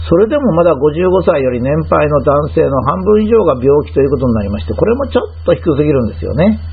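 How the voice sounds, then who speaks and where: With very wide pitch swings and hardly any pauses, a man talks at a fairly quick pace and a fairly high pitch, amid noticeable background noise and audible room echo. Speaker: health commentator. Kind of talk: lecture. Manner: formal.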